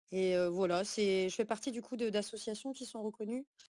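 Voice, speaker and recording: Medium pitch from a woman, dark and mellow, her intonation fairly even. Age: 20s. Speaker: activist. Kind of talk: online community call. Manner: halting.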